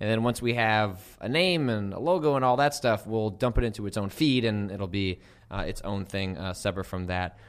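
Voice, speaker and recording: A man speaks at a fairly quick pace with ordinary pitch variation in an unremarkable speaking voice. The recording is very clean, with a silent background. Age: 30s. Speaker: video game journalist and podcast host. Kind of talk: casual chat. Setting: studio.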